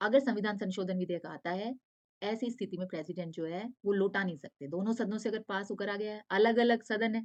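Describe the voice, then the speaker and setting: A plain, everyday voice moves at a moderate pace with ordinary pitch variation. The sound is dry and close, with no echo. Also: woman. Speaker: online exam-prep teacher. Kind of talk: lecture.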